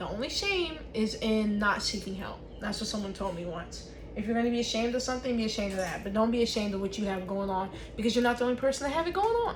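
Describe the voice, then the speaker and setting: Over noticeable background noise and audible room echo, a woman talks at a very fast pace in a fairly high voice with ordinary pitch variation. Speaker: vlogger. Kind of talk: casual vlog talk while crafting. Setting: home office desk. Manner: loud.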